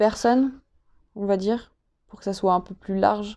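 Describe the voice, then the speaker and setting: A woman of medium pitch speaks in a dark, mellow tone against a quiet background. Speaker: podcast host. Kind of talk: interview.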